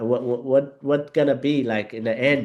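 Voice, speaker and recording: A man speaks with an Arabic accent at medium pitch. The background is quiet. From Yemen. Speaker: Arabic teacher. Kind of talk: interview conversation. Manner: halting, many fillers.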